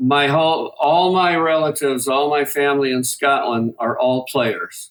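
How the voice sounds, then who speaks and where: The man's delivery is fairly slow, and his pitch moves in an ordinary way. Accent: Midwestern. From US Midwest, Detroit. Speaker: guitar maker, product developer. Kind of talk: interview.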